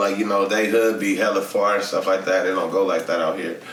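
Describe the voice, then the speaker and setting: A man's fairly low voice, with audible room echo and noticeable background noise. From Inglewood, Los Angeles, California. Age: 30s. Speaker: rapper. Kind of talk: casual interview chat. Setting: studio.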